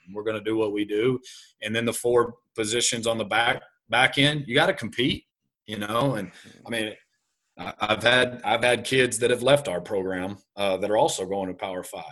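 With a West Texas accent, a man speaks at a moderate pace in a bright, sharp tone, his medium pitch varying in an ordinary way while his loudness swings widely. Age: young. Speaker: high school football coach. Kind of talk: interview.

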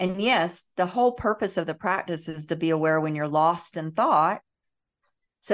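A woman's ordinary speaking voice, fairly low in pitch, with ordinary pitch variation, a moderate pace and a quiet background. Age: 50s. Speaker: emotional healing educator and meditation teacher. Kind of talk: podcast interview.

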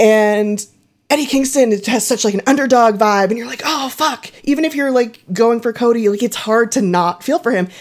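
A woman speaks in a Southern Californian accent at a fairly high pitch. Her pace is moderate, with ordinary pitch variation. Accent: general American, Southern Californian. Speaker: wrestling section head, co-host. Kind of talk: casual chat.

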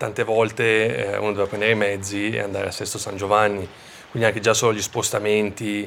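A man talks very fast in a fairly low pitch with a monotone, flat intonation. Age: 30s. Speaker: professional ice hockey player. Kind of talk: interview.

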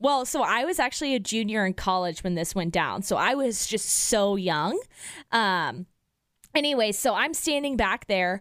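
In a Midwestern American accent, a woman with a fairly high pitch speaks at a moderate pace with very wide pitch swings and very even loudness, in a very clean recording with a silent background. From Kansas City, US Midwest. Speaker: radio host. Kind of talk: casual chat.

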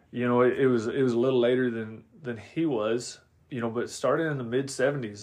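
In an American accent, a man with an unremarkable speaking voice talks at a fairly quick pace and medium pitch with fairly even intonation against a quiet background. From Oregon. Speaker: horse trainer. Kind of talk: casual chat. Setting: home music room.

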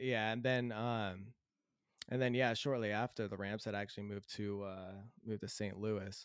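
At a moderate pace, a man with an American accent talks in a fairly low pitch and a monotone, flat intonation. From Southern California. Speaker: new podcast panelist. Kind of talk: casual chat.

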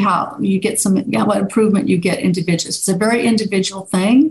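Fairly even intonation marks this voice. There is a somewhat breathy quality to it. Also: woman. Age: 60s. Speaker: neuropsychiatrist and author. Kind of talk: interview.

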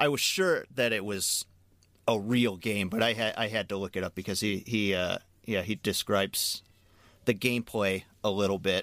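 On a very clean recording with a silent background, a man speaks in a normal speaking voice at a moderate pace, fairly low in pitch with fairly even intonation. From Chicago, US Midwest. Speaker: podcast co-host. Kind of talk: casual chat.

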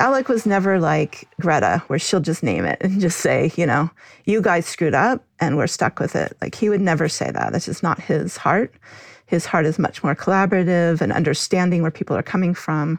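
The voice carries vocal fry at a moderate pace, its loudness very even, in a dry, close recording with no echo. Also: woman, fairly low pitch for a woman, ordinary pitch variation, quiet background. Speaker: author and mother of activist. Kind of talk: interview.

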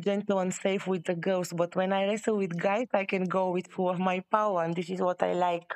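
A woman with a non-native accent and a medium pitch speaks at a moderate pace against a quiet background. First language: not English. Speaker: professional session wrestler and judo and sambo athlete. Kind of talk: casual interview chat. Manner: halting, non-native English.

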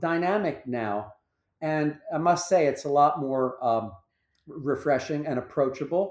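A man speaks at a moderate pace with a fairly high pitch and ordinary pitch variation. It is a plain, everyday voice. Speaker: fitness instructor and studio owner. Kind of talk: casual interview chat.

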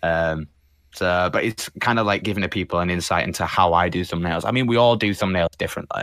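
A man with a Yorkshire accent speaks very fast in a very deep, low voice with ordinary pitch variation, on a very clean recording with a silent background. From northern England, Leeds. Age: 20s. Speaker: animator and thumbnail artist. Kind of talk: casual chat.

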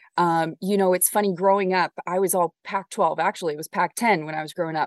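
Heard in a dry, close sound with no echo, the speaker has an American accent and fairly even intonation. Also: woman. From Southern California. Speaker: sports anchor and reporter. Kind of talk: casual interview.

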